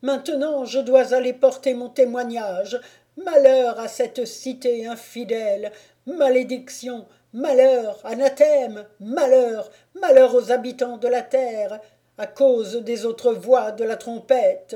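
Someone shouts in a put-on character voice at a fairly slow pace. The pitch sits fairly high. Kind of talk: preaching, doom-laden. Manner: shouted, loud and frenzied.

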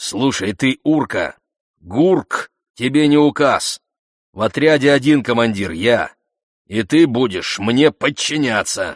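Using a put-on character voice at medium pitch, a man speaks at a fairly slow pace with lively intonation and long, frequent pauses, in a dry, close sound with no echo over a quiet background. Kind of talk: rough, aggressive. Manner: scolding harshly, commanding.

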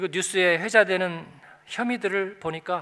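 Raising and projecting his voice, a man speaks high for a man, with a bright, sharp tone and ordinary pitch variation. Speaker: pastor. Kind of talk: sermon. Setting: church.

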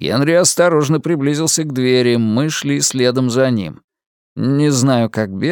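Someone is reading aloud in a natural voice with ordinary pitch variation, and the background is quiet.

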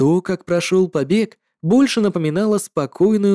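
A quiet background behind plain reading aloud, with ordinary pitch variation

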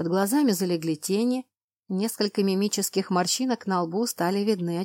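Pitch varies in an ordinary way in a natural reading voice. Behind it, things stay quiet.

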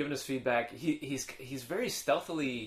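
At a moderate pace, a man talks at a medium pitch in an unremarkable speaking voice. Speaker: podcast co-host. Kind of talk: casual banter between co-hosts. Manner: joking, laughs often.

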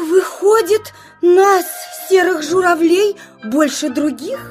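Over faint music in the background, a woman uses a put-on character voice at an extremely high pitch, speaking slowly with lively intonation. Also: slightly mellow tone.

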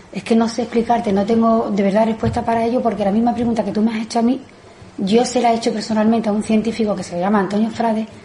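A woman with a fairly high, dark, mellow voice speaks at a fast pace with few pauses and fairly even intonation, amid audible room echo.

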